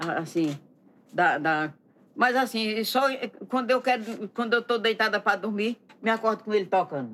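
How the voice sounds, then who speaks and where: Pausing long and often, a woman speaks at a moderate pace with very even loudness, a fairly high pitch, and lively intonation. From Pernambuco countryside, Brazil. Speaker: costume maker and folk singer. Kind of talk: casual interview.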